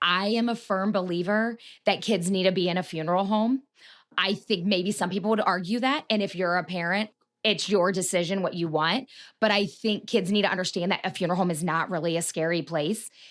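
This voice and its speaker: In a very clean recording with a silent background, a woman talks at a fairly quick pace, her medium pitch showing ordinary variation. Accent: Midwestern American. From Marion, Ohio. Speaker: funeral director. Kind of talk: interview answer.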